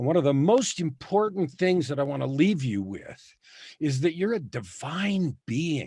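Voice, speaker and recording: Over a silent background in a very clean recording, a man with a fairly high pitch talks at a fairly slow pace, his voice somewhat breathy and swinging very widely in pitch. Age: 60s. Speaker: author and coach. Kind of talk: testimony.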